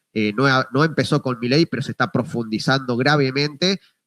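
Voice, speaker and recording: In an Argentine accent, a man speaks at a fairly quick pace with a bright, sharp tone. The recording is very clean and dry, with a silent background, a close sound and no echo. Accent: Rioplatense Argentine Spanish. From Argentina, Buenos Aires province. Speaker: journalist. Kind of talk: interview.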